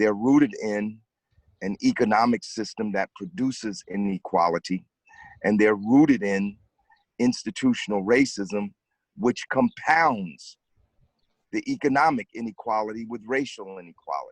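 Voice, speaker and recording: At a moderate pace, a man with a medium pitch and ordinary pitch variation speaks with long, frequent pauses in a dry, close sound with no echo. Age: 60s. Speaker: activist. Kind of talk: panel discussion.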